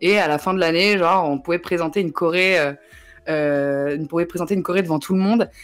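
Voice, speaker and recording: Fairly quick, very evenly loud speech with fairly even intonation over faint music in the background. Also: woman, fairly low pitch for a woman. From Paris region, Yvelines; Paris region. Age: 20s. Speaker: journalist and web creator; journalist, web creator. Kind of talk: casual chat. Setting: livestream. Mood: relaxed, laughing. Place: home room.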